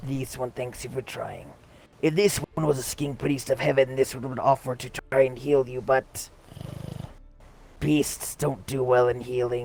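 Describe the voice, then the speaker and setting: A man puts on a character voice at a medium pitch. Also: moderate pace. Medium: game stream. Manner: formal, refers to self in third person.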